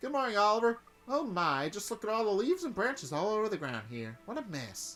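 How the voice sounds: A put-on character voice with a Southern accent and a fairly high pitch comes at a fairly quick pace, with faint music in the background.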